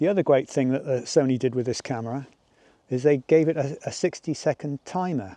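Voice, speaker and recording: In an English accent, the speaker talks at a fairly quick pace with a dark, mellow tone. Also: man. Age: 60s. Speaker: landscape photographer and vlogger. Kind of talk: casual vlog tutorial.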